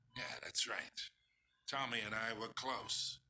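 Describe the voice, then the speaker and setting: A man puts on a raspy character voice. His pitch is medium and his pace moderate. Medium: video game. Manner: taunting, condescending.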